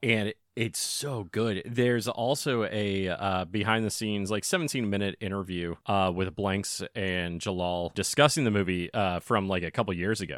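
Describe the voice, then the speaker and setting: In a plain, everyday voice, a man speaks at a moderate pace and fairly low pitch, with ordinary pitch variation and hardly any pauses. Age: 30s. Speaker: podcast co-host. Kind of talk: casual chat.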